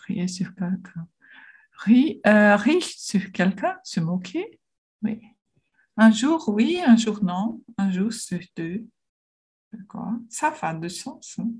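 With a Portuguese accent, a woman speaks very slowly in a somewhat breathy, medium-pitched voice, with lively intonation, big swings in loudness and long, frequent pauses. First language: Portuguese (speaking French). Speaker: language learner. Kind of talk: language lesson conversation. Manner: halting.

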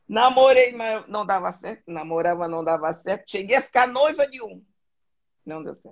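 Her pitch sits in the medium range for a woman, yet she makes very wide pitch swings and big swings in loudness while keeping a moderate pace. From southern Brazil, Florianópolis. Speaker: interview guest. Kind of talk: casual interview.

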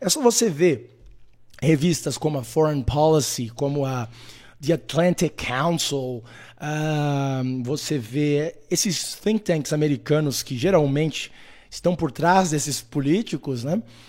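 Very slowly, a man delivers his words in a fairly high voice. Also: ordinary pitch variation. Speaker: political commentator, live streamer. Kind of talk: live stream monologue.

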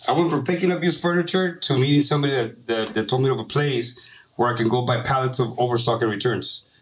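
Somewhat breathy and very fast, a man with an American accent talks at medium pitch with ordinary pitch variation and very even loudness. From Santa Ana, California (Orange County). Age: 30s. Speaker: business owner, former gang member. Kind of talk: casual chat.

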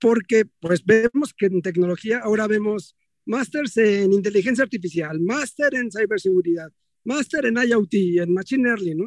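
The sound is dry and close with no echo as a man speaks at a high pitch with ordinary pitch variation. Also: moderate pace. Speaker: audience participant. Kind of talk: audience question. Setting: driving in a car.

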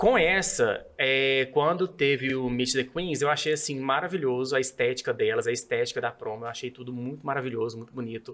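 A man with an unremarkable speaking voice talks at a fairly quick pace with hardly any pauses, a medium pitch and ordinary pitch variation. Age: 30s. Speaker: civil servant, podcast guest. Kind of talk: casual chat.

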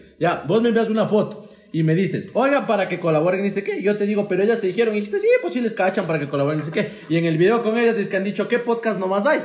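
A high-pitched man with ordinary pitch variation and hardly any pauses, amid noticeable background noise and audible room echo. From Ambato, Ecuador. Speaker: podcaster and comedian. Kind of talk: casual chat. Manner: fast.

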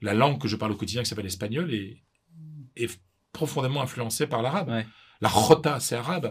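A somewhat breathy man at medium pitch with lively intonation, a fairly quick pace and long, frequent pauses. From northern France, Pas-de-Calais. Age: 50s. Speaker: sports journalist and author. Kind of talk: interview. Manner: halting, many repetitions.

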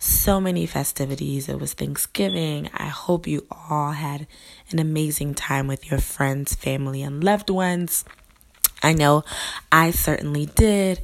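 A woman's very deep, low voice with ordinary pitch variation, fairly slow, amid noticeable background noise. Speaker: podcast host and pastor. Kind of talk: podcast intro. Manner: casual, friendly.

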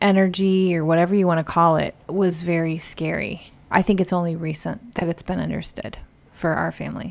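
In a very clean recording with a silent background, a woman with a normal speaking voice talks at a fairly low pitch with fairly even intonation. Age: 40s. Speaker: host's sister. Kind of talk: casual chat.

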